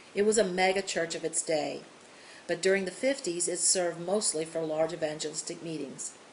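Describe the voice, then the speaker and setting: Noticeable background noise accompanies a woman whose voice shows ordinary pitch variation. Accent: American. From US Midwest and South. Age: 60s. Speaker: children's ministry coach. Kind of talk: scripted narration.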